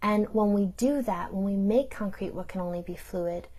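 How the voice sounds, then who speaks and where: A woman speaks at medium pitch and a moderate pace, her tone dark and mellow and somewhat breathy. Her intonation stays fairly even against a quiet background. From New York, Italian-American community. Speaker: theologian. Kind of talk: recorded talk.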